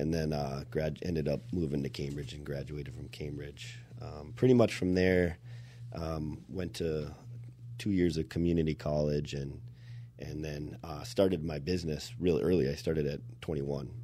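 With a Minnesota accent, a man speaks at a moderate pace in a very deep, low pitch and a dark, mellow tone. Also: ordinary pitch variation. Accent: Minnesotan Midwest. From Minnesota, Anoka. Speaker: exterior contractor and consultant. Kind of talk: casual interview chat.

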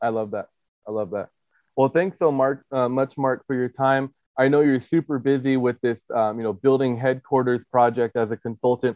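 With an unremarkable speaking voice, a man talks at a moderate pace in a medium pitch with fairly even intonation. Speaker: podcast host and chiropractor. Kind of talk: casual interview.

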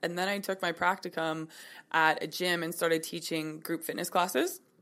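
In a western Canadian accent, a woman speaks at a moderate pace and a fairly low pitch with monotone, flat intonation, on a very clean recording with a silent background. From Kelowna, British Columbia, Canada. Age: 20s. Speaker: personal trainer and yoga instructor. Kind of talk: interview.

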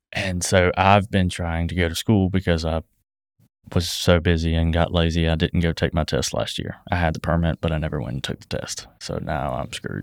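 On a very clean recording with a silent background and a dry, close sound with no echo, a man with a very deep, low pitch and vocal fry talks at a moderate pace with fairly even intonation. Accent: Southern US. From US South (south Georgia, Thomasville). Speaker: business owner (trucking). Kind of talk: casual chat.

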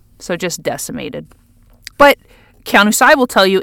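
The tone is bright and sharp, with lively intonation. The pace is very fast. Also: woman. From Oahu, Hawaii. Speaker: poet, scholar and activist. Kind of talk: interview.

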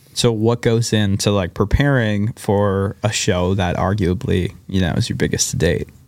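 An ordinary speaking voice moves at a moderate pace with ordinary pitch variation and hardly any pauses. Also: man, fairly low pitch for a man. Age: 20s. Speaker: podcast host. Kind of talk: casual interview chat. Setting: studio.

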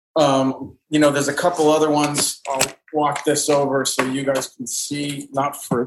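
Speaking at a moderate pace, a man holds a monotone, flat intonation at a fairly high pitch. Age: 40s. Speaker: painter and art teacher. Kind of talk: interview conversation.

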